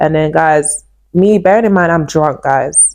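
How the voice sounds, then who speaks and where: At a moderate pace, a woman with a London accent speaks in an animated tone. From East London, England. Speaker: YouTuber telling life story. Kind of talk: personal testimony. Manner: animated, repetitive storytelling.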